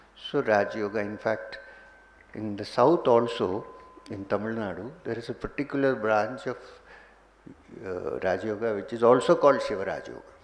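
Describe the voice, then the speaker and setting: A man talks at a fairly quick pace with long, frequent pauses and big swings in loudness, over noticeable background noise. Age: 60s. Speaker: spiritual teacher. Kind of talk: spiritual talk.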